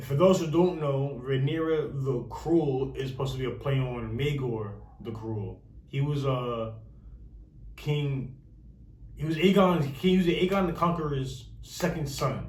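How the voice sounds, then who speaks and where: A somewhat breathy man speaks at a fairly slow pace amid audible room echo. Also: ordinary pitch variation. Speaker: youtuber discussing a tv series. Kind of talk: casual commentary to camera. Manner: halting, many fillers.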